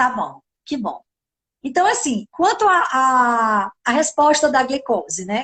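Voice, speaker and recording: A woman talks at a high pitch and a fairly slow pace with lively intonation. The sound is dry and close, with no echo. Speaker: nutritionist. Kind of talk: live video chat. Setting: online live stream.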